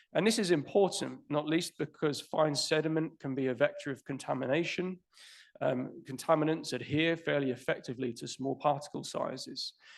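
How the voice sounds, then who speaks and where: A man with a British accent, fairly high in pitch, at a moderate pace and with ordinary pitch variation. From United Kingdom. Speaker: conference speaker, fluvial geomorphologist. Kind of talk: conference presentation.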